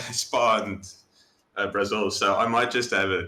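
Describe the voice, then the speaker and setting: A man with a South African accent speaks at a moderate pace. His tone is bright and sharp, his intonation fairly even. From South Africa, Johannesburg. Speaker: sim racing driver. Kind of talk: interview. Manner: casual, hesitant.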